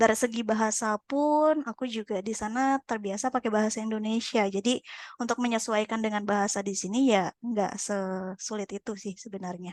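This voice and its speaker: A woman talks at a fairly quick pace in a fairly high voice, her intonation fairly even and the sound dry and close with no echo. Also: quiet background. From Sumatra, Pekanbaru (Riau). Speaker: podcast guest. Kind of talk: casual chat. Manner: halting, many fillers.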